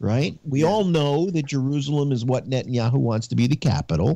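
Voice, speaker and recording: A man speaks in a dark, mellow tone. The sound is dry with no echo. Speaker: citizen panelist; panelist. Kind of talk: casual political discussion. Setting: video call. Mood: indignant political commentary. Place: home room. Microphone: video call.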